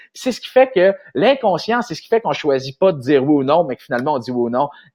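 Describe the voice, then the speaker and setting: A man with a Quebec accent, animated and very fast, with very wide pitch swings. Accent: Québécois French. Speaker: marketing consultant. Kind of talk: vlog-style business advice talk. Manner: animated, hesitant with many fillers.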